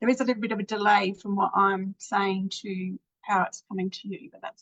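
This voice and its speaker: This woman talks at a fairly quick pace in a normal speaking voice. Her loudness swings widely while her intonation stays fairly even. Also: medium pitch for a woman. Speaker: painting teacher. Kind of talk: tutorial. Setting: live video stream.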